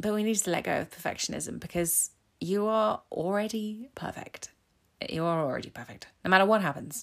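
A woman talks fairly quickly with an English accent. Her pitch sits in the medium range and varies in an ordinary way. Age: 40s. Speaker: self-love coach. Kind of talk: solo podcast monologue. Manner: casual, hesitant with fillers.

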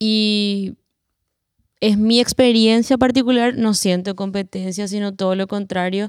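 A woman speaks with a Paraguayan accent at a medium pitch and a fairly slow pace, her intonation fairly even, in a very clean recording with a silent background and a dry, close sound with no echo. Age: 30s. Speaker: singer-songwriter. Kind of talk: roundtable conversation. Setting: cultural centre recording.

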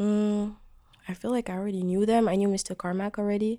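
Her voice carries a dark, mellow tone. The woman speaks with a French accent and fairly even intonation. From Djibouti, East Africa. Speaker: singer-songwriter. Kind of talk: casual interview. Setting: studio.

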